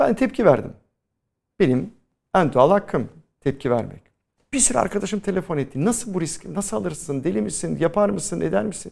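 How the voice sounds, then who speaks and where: Pitch swings very widely as the talk moves along fairly quickly. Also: man, high pitch for a man. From Istanbul, Turkey. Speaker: Greek Orthodox community representative. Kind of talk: interview.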